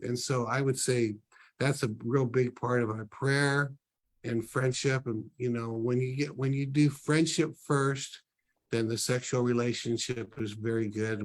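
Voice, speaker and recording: This man speaks at a moderate pace with a medium pitch in an ordinary speaking voice. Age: 60s. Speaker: ministry leader, book launch guest. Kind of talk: casual interview talk.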